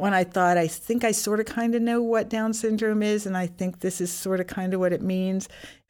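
Delivered in a plain, everyday voice, the speech moves at a fairly quick pace with very even loudness, hardly any pauses and fairly even intonation. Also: woman, medium pitch for a woman. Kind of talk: interview testimony. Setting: studio.

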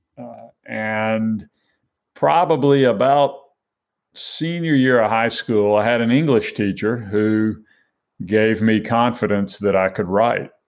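In a very clean recording with a silent background, a man with an American accent speaks at a very slow pace, his medium pitch showing ordinary variation. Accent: Southern US, Alabama drawl, now milder. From Alabama, US South. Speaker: author and grieving father.

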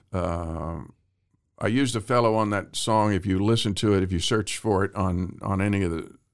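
The recording is very clean, with a silent background. A man with an American accent speaks at a moderate pace with a fairly low pitch and fairly even intonation. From Central Texas. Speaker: actor and singer-songwriter. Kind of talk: interview.

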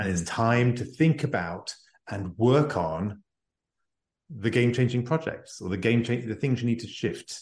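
Over a quiet background, a man talks at a moderate pace and medium pitch. His voice is somewhat breathy, with lively intonation. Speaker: executive advisor and author. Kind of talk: interview conversation. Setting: remote call from near Paris.

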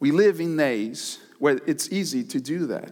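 A man's voice with very wide pitch swings, on a very clean recording with a silent background. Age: 30s. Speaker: pastor. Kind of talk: sermon. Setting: church service with live audience.

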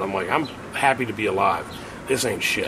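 The speaker talks at a fairly quick pace with an American accent. Noticeable background noise is present. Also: man. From US Midwest, Cincinnati area (Forest Park, Ohio). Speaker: musician. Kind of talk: casual chat.

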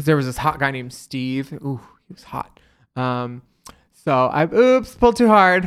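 A plain, everyday voice with an American accent, lively intonation, a moderate pace and big swings in loudness. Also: man, fairly high pitch for a man. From US East Coast (Florida, Philadelphia, New Jersey). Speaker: drag performer and actor. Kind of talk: casual chat.

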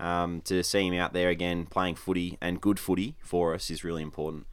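A man with an Australian accent speaks at a fairly quick pace in a very deep, low pitch. His intonation is monotone and flat, and the recording is very clean with a silent background. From rural Victoria, Australia. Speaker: professional footballer. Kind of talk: casual chat. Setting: studio.

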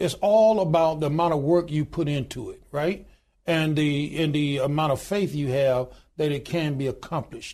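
A dark, mellow tone in a Southern US accent, with ordinary pitch variation at a moderate pace. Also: man, fairly high pitch for a man. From US South (Alabama). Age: 60s. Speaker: union leader and pastor. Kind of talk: interview.

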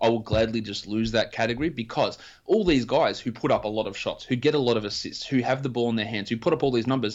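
Hardly pausing, a man with an Australian accent rattles along at a very fast pace, his medium-pitched voice in fairly even intonation. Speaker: fantasy basketball analyst. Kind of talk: casual interview chat.

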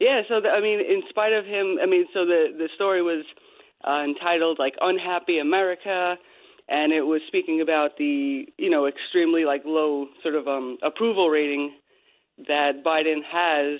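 Keeping her loudness very even, a woman with a fairly low pitch speaks at a moderate pace with ordinary pitch variation. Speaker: animal rescuer, radio co-host. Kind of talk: talk radio segment. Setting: studio. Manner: frequently says 'you know'.

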